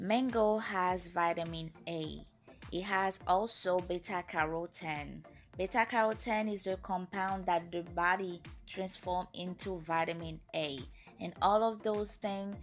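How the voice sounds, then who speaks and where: Against music in the background, a woman speaks fairly slowly at a medium pitch with fairly even intonation. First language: French and Creole. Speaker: natural hair care YouTuber. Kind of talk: casual talk to camera.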